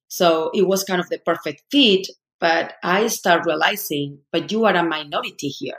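With a Spanish accent, a woman speaks at a fairly low pitch and moderate pace, using ordinary pitch variation. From Spain. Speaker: human resources consultant and leadership coach. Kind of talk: podcast interview.

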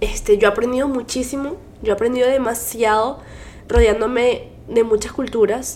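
The delivery has a moderate pace and fairly even intonation. Noticeable background noise sits behind it. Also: woman, high pitch for a woman. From Venezuela. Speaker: podcast co-host. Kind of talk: casual chat.

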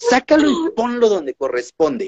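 A man with a high voice speaks at a fairly slow pace, his pitch swinging very widely. The sound is dry and close, with no echo. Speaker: podcast host. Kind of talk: interview. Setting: online livestream. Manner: talkative.

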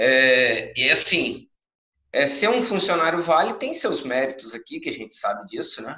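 Fairly slow speech from a man, loudness swinging widely. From Viana, Espírito Santo, Brazil. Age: 30s. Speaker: entrepreneur. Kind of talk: online group chat talk.

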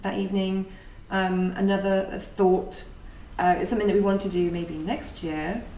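A woman with an ordinary speaking voice talks fairly slowly in a medium pitch, with fairly even intonation. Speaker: podcast host and meetup organiser. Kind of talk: casual chat, podcast.

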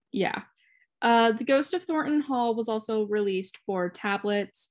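A woman speaks in a plain, everyday voice, fairly high in pitch, at a moderate pace. Her intonation is lively, and the background is quiet. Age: 20s. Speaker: podcast host. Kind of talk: casual chat.

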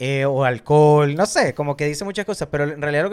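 Speaking at a very fast pace, a man has a fairly high pitch with ordinary pitch variation. The recording is very clean, the background silent. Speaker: film podcast co-host. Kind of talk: casual chat.

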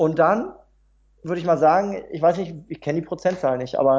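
A man speaks at a fairly quick clip in a high voice, with ordinary variation in pitch. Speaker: motivational speaker and trainer. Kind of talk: interview. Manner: calm.

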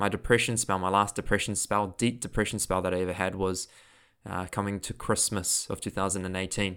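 Someone talks at a very fast pace with monotone, flat intonation and a New Zealand accent. The recording is very clean, with a silent background. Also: man. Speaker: podcast host and mental health coach. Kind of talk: solo podcast monologue. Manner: casual, conversational, laughs often.

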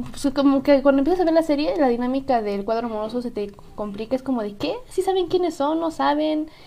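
Over noticeable background noise, a woman with a high pitch and a central Mexican accent talks with lively intonation. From central Mexico, Estado de México. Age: young. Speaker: podcast co-host. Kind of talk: casual chat.

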